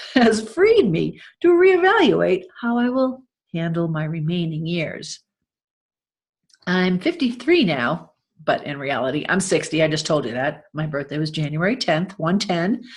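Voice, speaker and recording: A woman with an American accent talks at a fairly slow pace in a fairly low, somewhat breathy voice. Her intonation is lively, and the background is quiet. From US. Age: 60s. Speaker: podcast host and author. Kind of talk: reading aloud.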